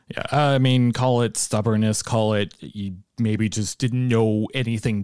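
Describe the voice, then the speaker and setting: A man with an unremarkable speaking voice talks at a medium pitch. The recording is very clean, with a silent background. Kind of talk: casual sports analysis. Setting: studio.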